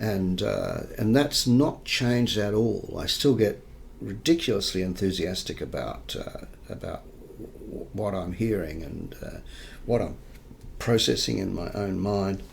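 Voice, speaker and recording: A man speaks at a fairly low pitch and a fairly slow pace, with ordinary pitch variation. His loudness swings widely, and the room echo is audible. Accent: Australian. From New South Wales, Australia. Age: 60s. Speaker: investigative journalist. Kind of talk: interview. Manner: halting, with many repetitions.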